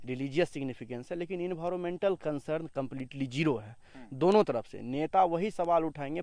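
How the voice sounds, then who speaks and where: This man has a fairly high pitch with ordinary variation and a dark, mellow tone. His loudness swings widely. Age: young. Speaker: local student. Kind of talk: interview.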